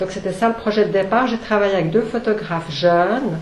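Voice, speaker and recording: With a Swiss accent, a woman of fairly high pitch speaks at a moderate pace with ordinary pitch variation, amid audible room echo and noticeable background noise. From Switzerland. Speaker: author, former journalist. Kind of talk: book talk at a public event. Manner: hesitant, many fillers.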